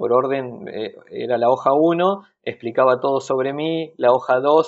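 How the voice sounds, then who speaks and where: A man's medium-pitched voice at a fairly slow pace with fairly even intonation. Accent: Rioplatense. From Argentina, Bahía Blanca. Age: 30s. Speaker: carpenter. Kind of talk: interview. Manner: halting.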